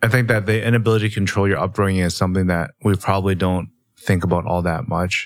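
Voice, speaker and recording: Fairly low in pitch, a man with a plain, everyday voice talks at a fairly quick pace in fairly even intonation. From Canada. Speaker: podcast co-host. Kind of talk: casual chat.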